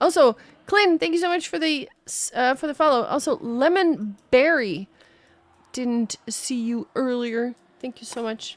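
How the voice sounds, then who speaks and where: A woman with an American accent talks at a high pitch and a fairly slow pace. Her intonation is lively, and the recording is very clean with a silent background. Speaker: game caster and streamer. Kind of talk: casual chat on live stream. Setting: live stream. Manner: chatty, talkative.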